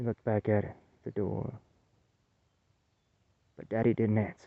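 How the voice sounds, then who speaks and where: Doing a put-on character voice, a man drawls at a moderate pace with medium pitch and monotone, flat intonation. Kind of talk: folksy spoken horror tale. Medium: read story. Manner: homespun, halting, drawling.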